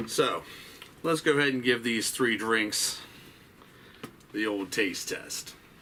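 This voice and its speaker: Over light background noise, a man in a raspy, put-on character voice speaks at a fairly slow pace with long, frequent pauses, his pitch medium with ordinary variation. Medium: solo performance. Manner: folksy, casual, drawling.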